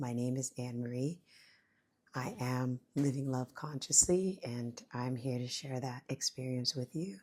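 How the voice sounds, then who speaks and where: Quiet and very deep in pitch, a woman speaks at a fairly slow pace with a dark, mellow tone and fairly even intonation. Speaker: spiritual vlogger. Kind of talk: personal reflection talk. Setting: at home, son sleeping. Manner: varying volume, keeping quiet; hesitant, casual.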